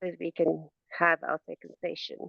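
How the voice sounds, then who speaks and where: With a non-native accent, a woman talks at a fairly slow pace. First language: not English. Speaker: coaching client. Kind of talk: coaching session. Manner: halting.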